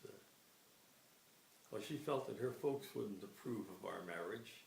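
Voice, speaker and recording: A man talks fairly slowly, and noticeable echo from the room can be heard. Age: 80s+. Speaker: retired army psychologist. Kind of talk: interview, life reminiscence. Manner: halting, many fillers and repeats.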